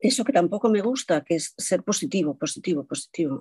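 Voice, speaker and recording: She speaks in a dark, mellow tone, and the sound is dry and close with no echo. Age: 50s. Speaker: linguist and speech therapist. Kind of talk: testimony.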